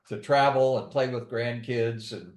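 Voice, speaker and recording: His voice carries an audible room echo. The speaker is a man. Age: 70s. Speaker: retiree who lifts weights, interviewee. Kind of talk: interview.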